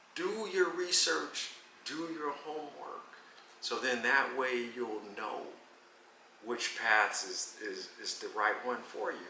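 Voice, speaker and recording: Over noticeable background noise and audible room echo, a man talks at a very slow pace with long, frequent pauses. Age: 60s. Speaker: veteran street dancer (popper). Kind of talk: casual interview.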